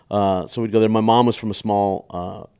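A man with a Texan accent talks at a very fast pace in a fairly low voice. The recording is very clean, with a silent background. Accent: Texan American English. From Texas. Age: 40s. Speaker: comedian. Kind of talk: casual chat.

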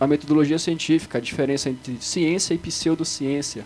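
Noticeable background noise runs under fairly quick speech whose intonation stays fairly even. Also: man. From Belém, Pará, Brazil. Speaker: podcast co-host. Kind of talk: casual chat.

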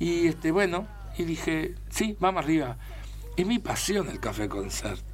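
Through noticeable background noise and audible room echo, a man speaks at a fairly slow pace. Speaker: actor. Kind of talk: casual chat.

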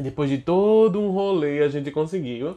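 Against a quiet background, a man speaks in an animated tone at a fairly slow pace. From Alagoas, Brazil. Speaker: actor and podcast co-host. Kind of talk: casual chat.

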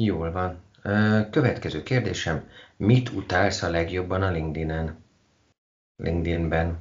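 A man's very deep, low voice, somewhat breathy, at a very slow pace with ordinary pitch variation and long, frequent pauses. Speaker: podcast host. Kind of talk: casual interview. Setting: Skype call.

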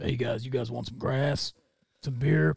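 Using a put-on character voice, a man sounds raspy and gravelly. His pitch is medium and his pace moderate. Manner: friendly, offering.

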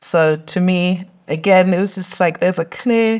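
With a London accent, a woman speaks in a fairly low voice at a moderate pace, using ordinary pitch variation. The recording is very clean, with a silent background. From London, England. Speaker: doctoral researcher. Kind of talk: podcast interview.

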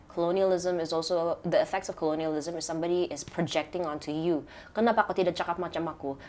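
A woman's fairly low voice moves at a very fast pace with fairly even intonation. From Sabah, Malaysia. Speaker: filmmaker.

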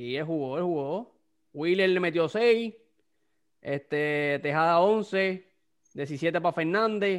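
A high-pitched man with a Puerto Rican accent speaks at a very slow pace with ordinary pitch variation and long, frequent pauses, against a quiet background. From Puerto Rico. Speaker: podcast host. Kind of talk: casual chat. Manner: animated.

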